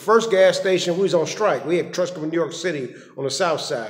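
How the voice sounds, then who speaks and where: The speaker is a man with lively intonation. He talks at a fairly quick pace. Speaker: motivational speaker. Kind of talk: personal reflection monologue. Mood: earnest, preachy. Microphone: phone near.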